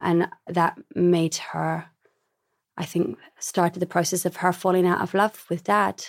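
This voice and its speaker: A woman's fairly low voice with vocal fry, dry and close with no echo, on a very clean recording with a silent background. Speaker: memoir author. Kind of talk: interview.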